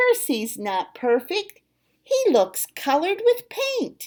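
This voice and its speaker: A woman uses a squeaky, put-on character voice with extremely high pitch and very wide pitch swings at a fairly slow pace. The recording is very clean, with a silent background. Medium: read story. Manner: haughty, scolding.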